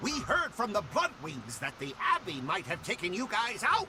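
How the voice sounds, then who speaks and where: In a cartoonish character voice, a man speaks at a high pitch over clear background noise. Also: moderate pace. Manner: eager.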